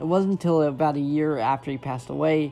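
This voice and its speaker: With music in the background, a man with a fairly high pitch speaks at a moderate pace and fairly even intonation. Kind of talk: casual video essay talk. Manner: hesitant, halting.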